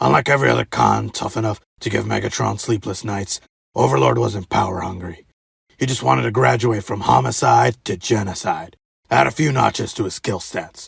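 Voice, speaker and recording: A man puts on a raspy character voice, very deep and low, talking at a fairly quick pace with very wide pitch swings. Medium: fan dub. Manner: casual storyteller, folksy.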